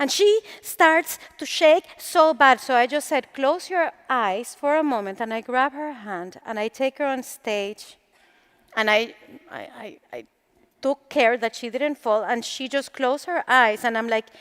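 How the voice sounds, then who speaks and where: With a high pitch and lively intonation, a woman speaks at a fairly slow pace, her loudness swinging widely, in a dry, close sound with no echo. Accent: Latin American. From Latin America. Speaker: motivational speaker. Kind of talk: motivational talk. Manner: animated.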